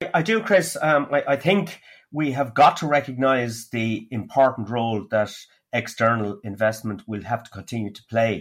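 A man with an Irish accent at a medium pitch, big swings in loudness, on a very clean recording with a silent background. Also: lively intonation, moderate pace. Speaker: economist podcast co-host. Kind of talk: casual economics discussion. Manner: frequent hesitations (um, uh).

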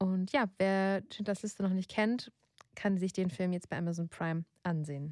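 A woman with a normal speaking voice talks at a medium pitch and moderate pace with ordinary pitch variation, in a dry, close sound with no echo. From Germany, grew up in a village. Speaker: podcast host, editor. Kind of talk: casual chat; reading aloud. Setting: studio.

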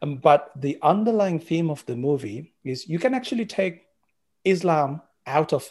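Somewhat breathy, a man with a fairly high pitch uses lively intonation against a quiet background. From Sri Lanka. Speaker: documentary producer. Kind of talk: interview.

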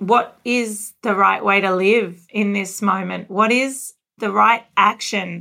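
A bright, sharp voice with an Australian accent moves at a very slow pace with fairly even intonation. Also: woman, medium pitch for a woman. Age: 40s. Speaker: podcast host. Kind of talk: interview conversation. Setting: video call.

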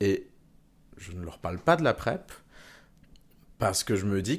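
A man talks at a moderate pace with lively intonation on a very clean recording with a silent background. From Venezuela. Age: 30s. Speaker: engineer sharing personal testimony. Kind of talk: testimony. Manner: halting, many fillers and repetitions.

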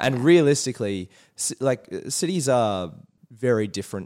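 A man with an Australian accent speaks with lively intonation in a very clean recording with a silent background. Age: 20s. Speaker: youth mental health worker and performer. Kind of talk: casual chat.

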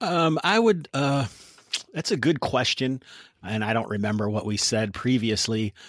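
With an American accent, a man talks at a moderate pace in a plain, everyday voice. His medium pitch carries lively intonation. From US Midwest. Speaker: tabletop RPG podcaster and game master. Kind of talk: casual interview chat about games.

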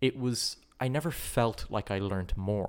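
A man talks with an Irish accent at a fairly low pitch. The recording is very clean, with a silent background. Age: 20s. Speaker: politics student and watchmaker. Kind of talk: casual chat. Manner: halting, repeats words.

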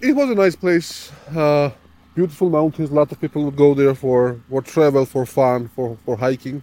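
A man with a Georgian accent, fairly high-pitched, at a moderate pace with ordinary pitch variation, in a dry, close recording with no echo. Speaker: friend and local guide. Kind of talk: interview.

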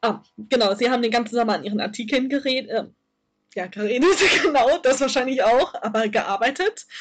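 A woman speaks with a high voice. Her pitch variation is ordinary. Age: 20s. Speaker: fanfiction writer. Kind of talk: casual chat. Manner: hesitant, many fillers. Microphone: poor audio quality.

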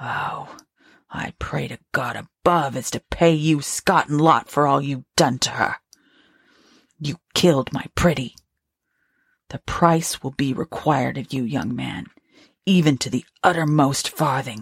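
A put-on character voice from a woman, very deep and low in pitch, at a fairly slow pace with long, frequent pauses. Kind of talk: Victorian ghost story reading. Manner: bitter, accusing, vengeful.

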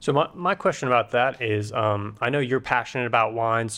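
A man talks at a moderate pace and medium pitch in an unremarkable speaking voice. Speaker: podcast co-host. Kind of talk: interview.

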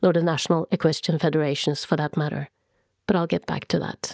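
A woman with a Norwegian accent speaks in a dark, mellow tone, with a dry, close sound and no echo on a very clean recording with a silent background. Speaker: podcast host and author. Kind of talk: scripted narration. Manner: formal.

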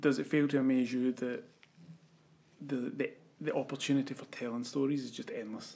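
A man in a Scottish accent talks at a fairly quick pace and fairly high pitch, with big swings in loudness. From Scotland. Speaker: podcast host. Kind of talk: interview.

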